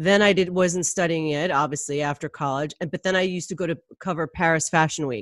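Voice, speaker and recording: A woman's plain, everyday voice, fairly low in pitch, with fairly even intonation, hardly any pauses, and a quiet background. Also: fairly quick pace. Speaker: podcast host and magazine editor. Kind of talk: interview, casual conversation.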